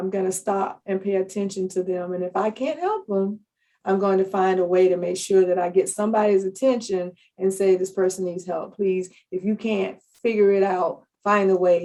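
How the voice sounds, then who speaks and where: Her tone dark and mellow, a woman speaks at medium pitch and a moderate pace with fairly even intonation. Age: 60s. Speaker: public health analyst. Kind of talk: podcast interview.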